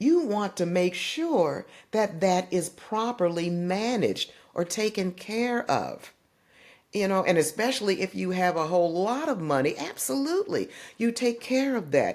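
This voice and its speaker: A woman with an American accent and an unremarkable speaking voice talks at a medium pitch and a fairly slow pace, with lively intonation. The recording is very clean, with a silent background. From US East Coast, Washington DC. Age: 60s. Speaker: senior care adviser. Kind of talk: podcast interview.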